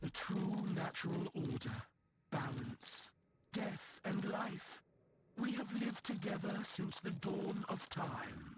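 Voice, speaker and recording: A man puts on a character voice. It sits high in pitch and moves at a fairly slow pace. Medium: video game. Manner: calm, measured, solemn.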